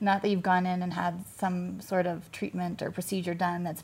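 This woman talks at a moderate pace with a fairly low pitch, a somewhat breathy quality and a monotone, flat intonation. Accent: American. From US Midwest, Kansas City. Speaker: med spa owner. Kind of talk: interview chat.

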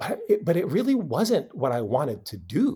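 A somewhat breathy man with an American accent, very wide pitch swings, a moderate pace, and a very clean recording over a silent background. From Philippines, then California from age 10. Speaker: nonprofit founder and communications CEO. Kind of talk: interview. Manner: halting, with frequent repeats and fillers.

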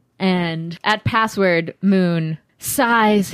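On a very clean recording with a silent background, a woman with an ordinary speaking voice talks at a fairly low pitch with ordinary pitch variation. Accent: American. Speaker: podcast host and game narrator. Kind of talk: tabletop roleplaying podcast narration and intro chat.

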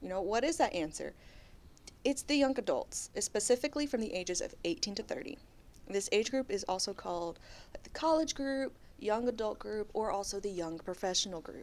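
Using a plain, everyday voice, a woman speaks with lively intonation and big swings in loudness. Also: fairly high pitch for a woman, moderate pace. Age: 20s. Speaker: podcast co-host. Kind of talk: casual chat; reading aloud.

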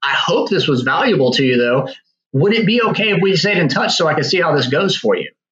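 Speaking very fast with an American accent, a high-pitched man makes very wide pitch swings at very even loudness, with audible room echo. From Virginia. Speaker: real estate agent. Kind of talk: podcast interview.

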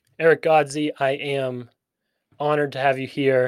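In a very clean recording with a silent background, a man speaks in a flat monotone at a medium pitch and moderate pace. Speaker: podcast host. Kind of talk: casual interview.

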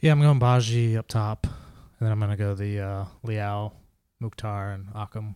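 The speaker mumbles at a moderate pace with fairly even intonation and a dark, mellow tone. The sound is dry and close with no echo, and the recording is very clean over a silent background. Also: man, fairly low pitch for a man. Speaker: soccer podcast co-host. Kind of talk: casual chat. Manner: mumbling.

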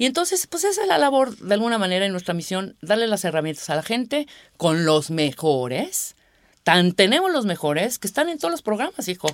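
A woman with a Mexico City accent speaks at a fairly quick pace. Her medium pitch moves in very wide swings. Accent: Mexican Spanish (Mexico City). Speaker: radio producer. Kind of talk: casual interview.

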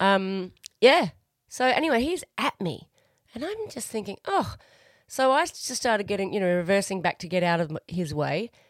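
A woman's medium-pitched voice with very wide pitch swings at a moderate pace, in a very clean, dry, close recording with no echo and a silent background. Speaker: podcast host. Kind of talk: casual chat, banter. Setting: home studio during lockdown. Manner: playful, joking, irreverent.

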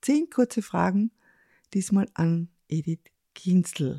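A woman speaks at a very slow pace with a medium pitch, a dark, mellow tone, lively intonation and a somewhat breathy quality. The very clean recording has a silent background and a dry, close sound with no echo. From Carinthia, Lavant valley. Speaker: podcast host and author. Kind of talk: casual interview; scripted show intro.

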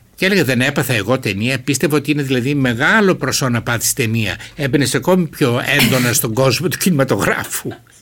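A man talks fairly quickly at a medium pitch with ordinary pitch variation and hardly any pauses. Noticeable background noise runs beneath his voice. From Greece, Thrace (Alexandroupoli). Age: 70s. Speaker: novelist. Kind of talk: interview.

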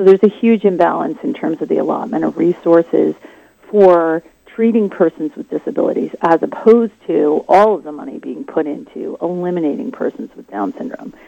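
At a fairly quick pace, a woman speaks in an unremarkable speaking voice, fairly low in pitch, with lively intonation and big swings in loudness. The sound is dry and close, with no echo. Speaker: seminary professor.

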